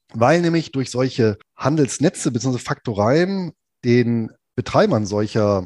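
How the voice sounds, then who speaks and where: A man's medium-pitched voice, dark and mellow in tone, with lively intonation and a dry, close sound with no echo. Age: 40s. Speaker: finance blogger and podcast co-host. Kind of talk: history storytelling podcast chat.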